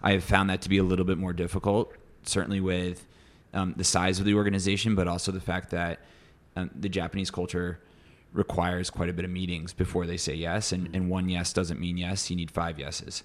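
The speaker has an American accent and moves at a fairly quick pace. Their intonation is monotone and flat. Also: man, very deep, low pitch for a man. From US Midwest. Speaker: advertising executive. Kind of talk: casual interview chat.

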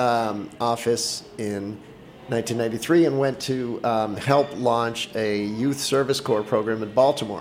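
With an American accent, the speaker talks at a very slow pace and fairly even intonation. Background noise is noticeable. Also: man. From Boston, US. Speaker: entrepreneur. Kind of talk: interview. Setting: studio.

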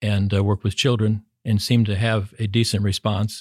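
In a dry, close sound with no echo on a very clean recording with a silent background, a man speaks fairly quickly in a fairly low, somewhat breathy voice with monotone, flat intonation. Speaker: education dean. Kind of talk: interview.

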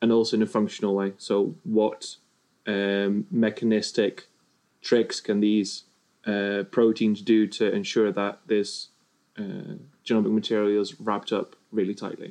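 Someone with a Dutch accent speaks at a fairly slow pace with fairly even intonation. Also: man, fairly low pitch for a man. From Netherlands. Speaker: virologist. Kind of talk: casual chat.

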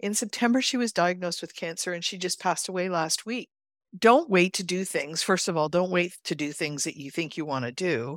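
A woman with a Canadian accent, lively intonation and a fairly quick pace, on a very clean recording with a silent background. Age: 60s. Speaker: financial coach. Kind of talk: interview. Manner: high-energy, straight-talking.

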